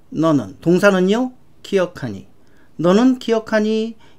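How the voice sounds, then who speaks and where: Here a woman speaks at a moderate pace with a medium pitch. Her pitch variation is ordinary. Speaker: English grammar teacher. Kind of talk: lecture. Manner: animated.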